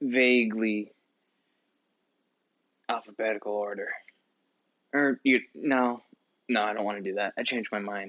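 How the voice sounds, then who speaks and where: Soft-spoken and at medium pitch, a man talks at a moderate pace with fairly even intonation and long, frequent pauses. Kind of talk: ASMR soft-spoken book show-and-tell.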